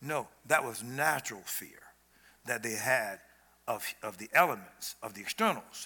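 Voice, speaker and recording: Delivered at a moderate pace with an American accent, the voice has lively intonation, an animated, bright and sharp tone, and big swings in loudness. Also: man, medium pitch for a man. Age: old. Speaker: preacher. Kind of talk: sermon. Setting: church stage with audience.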